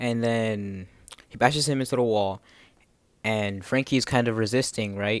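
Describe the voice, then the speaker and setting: Speaking at a moderate pace, a man keeps a fairly low pitch and fairly even intonation. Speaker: anime manga reviewer. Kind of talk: casual review commentary. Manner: halting, many repeated words.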